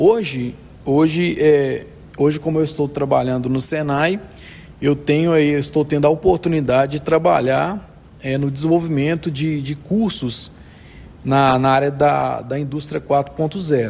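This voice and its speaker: A fairly slow pace with ordinary pitch variation. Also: man, fairly high pitch for a man. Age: 30s. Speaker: technical instructor, automation engineer. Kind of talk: interview. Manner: halting, many fillers.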